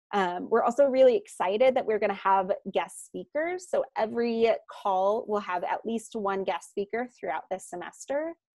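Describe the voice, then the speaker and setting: A woman with a plain, everyday voice talks in a fairly high pitch with lively intonation. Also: moderate pace. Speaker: nonprofit program manager. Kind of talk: presentation.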